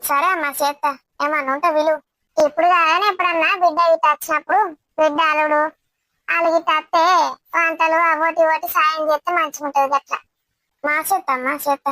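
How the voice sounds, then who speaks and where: A woman puts on a squeaky character voice at an extremely high pitch, with monotone, flat intonation. She keeps a moderate pace, and the sound is dry and close with no echo. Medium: voice reel. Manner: deferential, eager.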